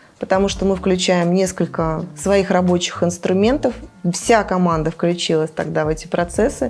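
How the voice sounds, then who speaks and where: A woman speaks at a fairly low pitch and a moderate pace. Her loudness is very even and her pitch variation ordinary. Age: 40s. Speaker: travel company founder. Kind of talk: interview. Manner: hesitant.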